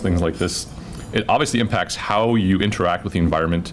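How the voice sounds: There is clear background noise behind a man speaking. His pitch is low, with ordinary variation.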